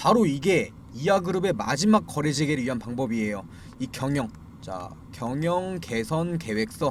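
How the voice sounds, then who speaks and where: A man speaks at a moderate pace in a fairly high, somewhat breathy voice. His pitch swings very widely. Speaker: stock market commentator. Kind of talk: video commentary on stock disclosures. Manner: frequent filler words and repetitions.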